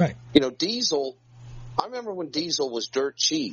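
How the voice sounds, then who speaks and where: This man speaks with a Southern US accent. Noticeable background noise sits behind him. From North Carolina. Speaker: co-host.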